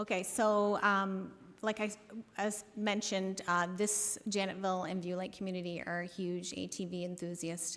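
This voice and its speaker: In a room with audible echo, a woman talks at a moderate pace and medium pitch, her intonation monotone and flat. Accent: Canadian. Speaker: municipal councillor. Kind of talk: council meeting presentation. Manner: hesitant, many fillers.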